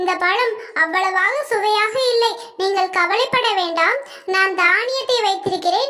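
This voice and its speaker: A cartoonish character voice from a woman, extremely high in pitch, with very even loudness. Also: fairly slow pace, ordinary pitch variation. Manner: warm, motherly.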